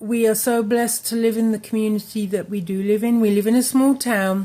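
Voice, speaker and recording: Speaking with an English accent at a moderate pace, a woman uses a fairly high pitch, a dark, mellow tone and fairly even intonation. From England. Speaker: crochet crafts YouTuber. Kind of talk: casual chat to camera. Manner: halting, many fillers.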